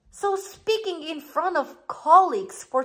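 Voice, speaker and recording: A woman with a slight non-native accent speaks in an animated tone with lively intonation. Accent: slight non-native, mispronounces words. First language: not English. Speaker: life coach and author. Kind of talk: motivational video talk.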